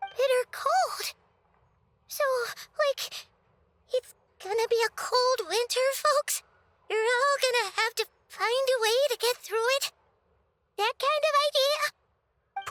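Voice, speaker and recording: A put-on character voice with an extremely high pitch moves at a fairly slow pace, broken by long, frequent pauses. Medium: video game. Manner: chatty, expressive.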